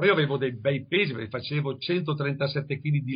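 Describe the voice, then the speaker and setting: A man's voice, fairly high in pitch. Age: 70s. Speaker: bodybuilder and fitness teacher. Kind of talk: interview.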